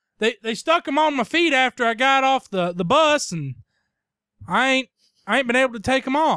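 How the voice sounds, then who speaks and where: The speaker has a Tennessee accent and talks at a moderate pace on a very clean recording with a silent background. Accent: Southern US (Tennessee). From US South, Tennessee. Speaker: podcast co-host. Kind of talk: casual chat.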